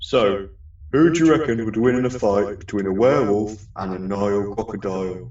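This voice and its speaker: Lively intonation runs through a put-on character voice at a moderate pace. A slight echo surrounds it. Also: man, fairly low pitch for a man. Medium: audio drama.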